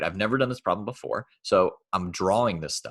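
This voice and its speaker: An ordinary speaking voice moves at a fairly quick pace with lively intonation. The background is quiet. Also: man. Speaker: math teacher. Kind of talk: lecture. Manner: casual.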